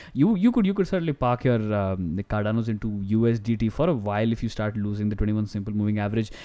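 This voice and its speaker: A man's dark, mellow voice at a very fast pace with hardly any pauses. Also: fairly low pitch for a man, ordinary pitch variation. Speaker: crypto market analyst. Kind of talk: chart analysis commentary. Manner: halting, stuttering; casual, chatty.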